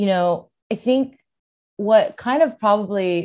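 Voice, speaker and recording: A woman speaks with a Californian accent in a dark, mellow tone. The background is quiet. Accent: Californian American. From California (born in Seoul, South Korea, moved at four). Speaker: filmmaker, rock climber and outdoor advocate. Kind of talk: interview conversation.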